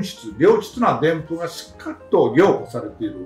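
Audible room echo surrounds the speech, with faint music in the background. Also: man. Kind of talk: interview answer. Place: home room.

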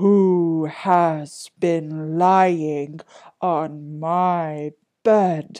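Middle pitch in a put-on character voice. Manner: crying out, demanding.

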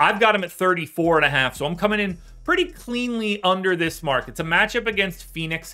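A man's fairly quick delivery carries lively intonation. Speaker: sports betting analyst. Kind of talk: commentary. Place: home room.

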